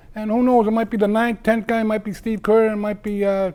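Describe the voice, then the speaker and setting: A man with a Boston accent speaks in a high pitch with a dark, mellow tone. The recording is very clean, with a silent background. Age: 60s. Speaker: wrestling show host, former wrestler. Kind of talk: casual local TV talk show. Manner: rambling with many fillers.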